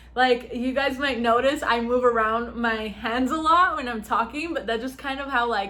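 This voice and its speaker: Her voice high, a woman speaks at a moderate pace with ordinary pitch variation and audible room echo. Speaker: YouTuber giving advice. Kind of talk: casual vlog talk. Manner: loud.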